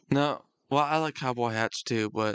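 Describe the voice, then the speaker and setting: This man has an unremarkable speaking voice and keeps a moderate pace. The sound is dry and close with no echo, over a quiet background. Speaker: podcast host. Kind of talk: casual chat.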